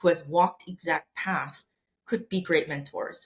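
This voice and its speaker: A somewhat breathy woman talks at a moderate pace in a fairly low pitch. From Korea. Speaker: neuroscientist and biotech executive. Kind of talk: interview conversation.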